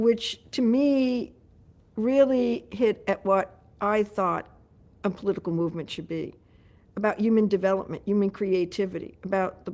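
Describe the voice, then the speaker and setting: A woman speaks at a moderate pace with a New York accent. The recording is very clean, with a silent background. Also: medium pitch for a woman, ordinary pitch variation. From New York City. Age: 70s. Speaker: mayoral candidate. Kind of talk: interview.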